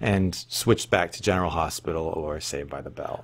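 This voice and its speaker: Lively intonation colors a man's speech, delivered at a moderate pace. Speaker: vlogger. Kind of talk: casual vlog chat. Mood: wry, humorous storytelling. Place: home room. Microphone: webcam.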